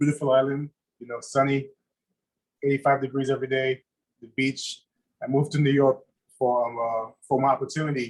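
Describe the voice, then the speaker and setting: A man with a West Indian accent, flat and monotone, broken by long, frequent pauses and big swings in loudness. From Saint Lucia. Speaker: chef. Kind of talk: casual chat. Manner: halting.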